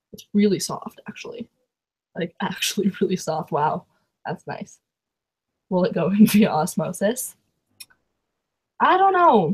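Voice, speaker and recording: A somewhat breathy voice in a Canadian accent speaks at a fairly slow pace with long, frequent pauses, ordinary pitch variation and big swings in loudness, recorded dry and close with no echo. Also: woman, medium pitch for a woman. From Canada. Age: 20s. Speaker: booktuber. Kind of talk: live stream chat. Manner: animated.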